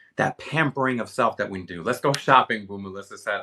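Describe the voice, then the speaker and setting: The voice moves at a very fast pace, its tone bright, sharp and animated. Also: man. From US Northeast, Philadelphia. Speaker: livestream shopping host, beauty creator. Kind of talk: live stream chat and product demo. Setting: live video stream.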